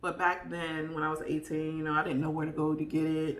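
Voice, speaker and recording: With noticeable background noise and audible room echo, a woman speaks in an animated tone at a moderate pace. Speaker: vlogger. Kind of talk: casual chat.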